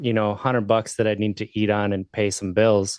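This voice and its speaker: A man with an American accent speaks at a moderate pace in a monotone, flat intonation. The sound is dry and close with no echo, over a quiet background. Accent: slight Wisconsin accent, comes and goes. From Wisconsin. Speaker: podcast host, sobriety advocate. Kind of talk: interview, personal recovery story.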